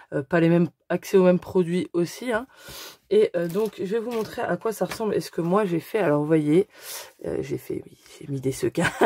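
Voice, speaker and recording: A woman with a fairly low pitch and a dark, mellow tone speaks at a moderate pace with ordinary pitch variation, big swings in loudness and long, frequent pauses, in a dry, close sound with no echo. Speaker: scrapbooking youtuber. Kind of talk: tutorial. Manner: halting, many hesitations.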